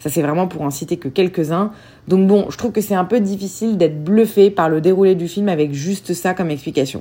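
With a dark, mellow tone, a woman at a medium pitch talks at a fairly quick pace with ordinary pitch variation. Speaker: film podcast host. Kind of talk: solo podcast film reviews.

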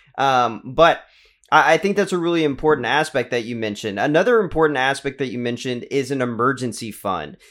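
Lively intonation marks this unremarkable speaking voice with an American accent. The pace is fairly quick. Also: man, medium pitch for a man. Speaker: podcast host. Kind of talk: casual interview.

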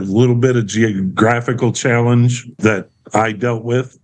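Speaking at a fairly slow pace, a man has a plain, everyday voice of medium pitch and fairly even intonation. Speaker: counseling client. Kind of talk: counseling session.

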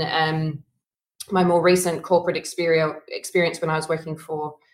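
Her pitch sits fairly low for a woman. She keeps her intonation fairly even. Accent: Australian. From Australia. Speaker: consultancy founder and CEO. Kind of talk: interview. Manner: hesitant, many fillers.

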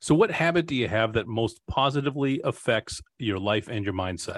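A man with a plain, everyday voice and medium pitch speaks at a moderate pace with lively intonation against a quiet background. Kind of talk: interview.

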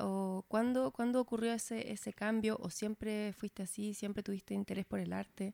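With a Chilean accent, a woman speaks at a fairly high pitch with very wide pitch swings, the sound dry and close with no echo. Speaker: podcast host. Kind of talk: casual interview chat.

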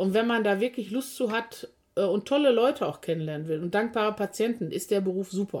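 A woman with a plain, everyday voice speaks at a medium pitch and a fairly quick pace, her pitch varying in an ordinary way. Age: 50s. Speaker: physiotherapist and practice owner. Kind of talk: casual podcast chat.

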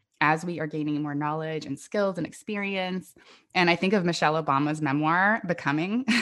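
With a General American accent and an ordinary speaking voice, a woman talks at a fairly quick pace in a fairly low pitch with ordinary pitch variation. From US West Coast (Northern California). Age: 40s. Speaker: podcaster and coaching client. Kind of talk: casual interview chat.

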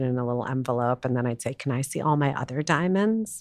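Speaking at a very fast pace, a woman has a very deep, low pitch. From New York City. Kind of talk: casual chat.

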